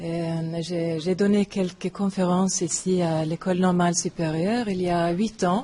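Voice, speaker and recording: With a non-native accent and monotone, flat intonation, the speaker goes at a fairly slow pace with hardly any pauses. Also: woman, fairly low pitch for a woman. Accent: foreign accent in French. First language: not French (third language or later) (speaking French). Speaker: philosophy professor. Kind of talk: lecture. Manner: halting.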